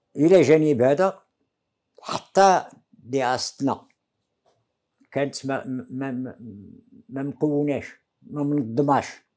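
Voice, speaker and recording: A man at a very slow pace with long, frequent pauses and big swings in loudness, against a quiet background. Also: ordinary pitch variation. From Morocco, Taza; Morocco. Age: 80s+. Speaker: veteran independence activist; interviewee. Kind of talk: interview testimony. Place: home room. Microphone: lapel.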